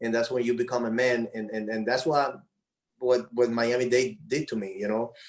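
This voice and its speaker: This speaker talks in a Spanish accent at a moderate pace. The intonation stays fairly even. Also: man. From Dominican Republic. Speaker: former baseball player. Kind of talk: casual chat. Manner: halting, many repetitions.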